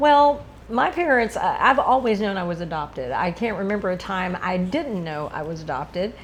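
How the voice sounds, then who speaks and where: With a Texan accent, a woman speaks at a moderate pace and a medium pitch with very wide pitch swings. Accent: Texan American English. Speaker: interviewee, adoptee. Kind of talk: interview.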